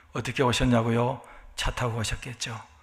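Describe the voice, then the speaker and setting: A man's medium-pitched voice at a moderate pace. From South Korea. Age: 60s. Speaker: pastor. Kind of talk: sermon.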